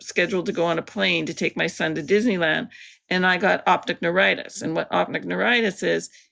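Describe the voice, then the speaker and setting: A woman with a Canadian accent speaks in a fairly low register, her bright, sharp tone edged with vocal fry. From Canada, Alberta. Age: 60s. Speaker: artist with multiple sclerosis. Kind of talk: interview. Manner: halting.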